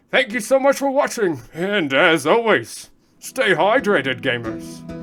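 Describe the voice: Over faint background music, a man uses a put-on character voice, high-pitched with very wide pitch swings, at a fairly slow pace.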